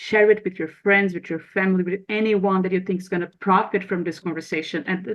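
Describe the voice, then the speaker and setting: A woman with a Brazilian accent at a fairly quick pace. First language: Portuguese. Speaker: podcast host. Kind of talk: podcast outro; interview.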